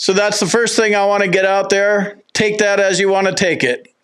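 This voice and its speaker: A man with an American accent talks at a fairly quick pace in a high pitch. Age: 50s. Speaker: veteran benefits YouTuber. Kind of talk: casual explainer video.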